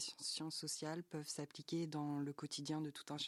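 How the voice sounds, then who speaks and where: In a dry, close sound with no echo, a man talks at a moderate pace and a fairly high pitch. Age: 30s. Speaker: youtuber and streamer. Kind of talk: interview.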